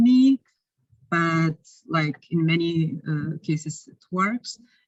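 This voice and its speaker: The voice is somewhat breathy, with a Lithuanian accent. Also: woman. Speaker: researcher presenting at conference. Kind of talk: conference Q&A.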